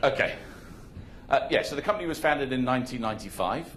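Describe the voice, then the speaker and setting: A man with a medium-pitched voice talks with lively intonation, and the room echo is audible. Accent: British. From Hong Kong. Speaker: conference speaker, marketing executive. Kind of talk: conference presentation. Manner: casual, halting with fillers.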